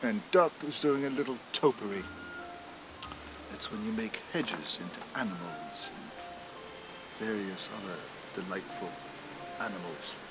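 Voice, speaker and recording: A man speaks at a fairly slow pace with long, frequent pauses and very wide pitch swings, music playing in the background. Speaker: celebrity actor narrating an animated short. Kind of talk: storybook narration, children's story reading. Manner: warm, expressive.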